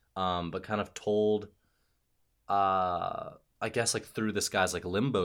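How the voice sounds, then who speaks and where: In a very clean recording with a silent background, a man with an American accent and a very deep, low pitch speaks at a fairly slow pace with fairly even intonation. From Cincinnati, Ohio. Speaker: comedy writer and actor. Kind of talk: casual chat. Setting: studio.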